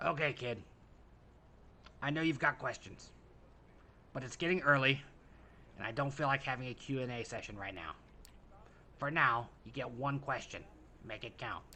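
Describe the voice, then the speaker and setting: Putting on a gravelly, raspy character voice, a man talks at a moderate pace and medium pitch with long, frequent pauses over clear background noise. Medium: solo performance. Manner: gruff, sardonic.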